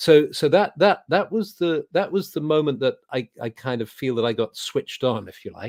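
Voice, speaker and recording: A man with a southern British accent speaks at a moderate pace and a fairly high pitch with hardly any pauses. His pitch swings very widely, and his loudness swings a lot. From England. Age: 70s. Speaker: druid leader and spiritual teacher. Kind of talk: interview. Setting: video call.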